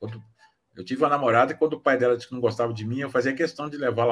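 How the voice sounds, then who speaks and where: Very fast speech from a man at a medium pitch. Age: 60s. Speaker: author. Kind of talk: casual chat. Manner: halting.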